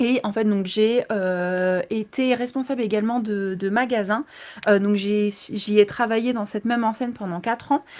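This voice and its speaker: Her fairly high voice keeps a fairly even intonation as this woman talks at a moderate pace. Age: 20s. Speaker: image consultant. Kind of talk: interview. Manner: hesitant, many fillers.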